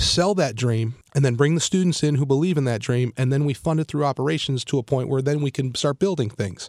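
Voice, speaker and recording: On a very clean recording with a silent background, a man with a plain, everyday voice speaks at a fairly high pitch with ordinary pitch variation. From Cleveland, Ohio. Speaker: university president. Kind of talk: radio interview. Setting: radio studio.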